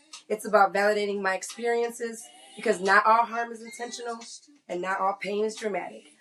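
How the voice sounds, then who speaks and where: Over music in the background, a woman with a fairly high pitch talks at a fairly quick pace. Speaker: podcast host. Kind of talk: personal podcast monologue.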